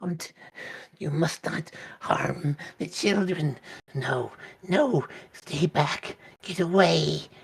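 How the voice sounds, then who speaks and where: Raspy and at a middle pitch, a put-on character voice moves at a very slow pace with long, frequent pauses. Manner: pleading, frightened.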